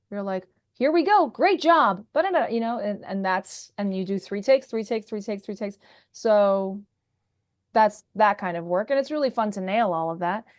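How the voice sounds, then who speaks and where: Over a quiet background, a normal speaking voice moves at a moderate pace with lively intonation. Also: woman, medium pitch for a woman. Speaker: voice actor. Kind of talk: interview answer.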